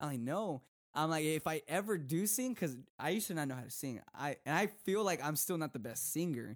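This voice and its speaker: A man with an American accent has a plain, everyday voice. His pitch is fairly high and his intonation lively. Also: fairly quick pace, very clean recording, silent background. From Texas. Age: 20s. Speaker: youth preacher. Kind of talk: casual chat.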